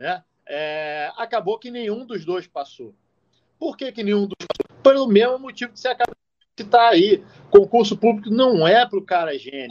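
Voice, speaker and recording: A man speaks at a high pitch with lively intonation and big swings in loudness. The sound is dry and close, with no echo. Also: moderate pace. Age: 30s. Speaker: criminal forensic expert and podcast co-host. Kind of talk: casual chat.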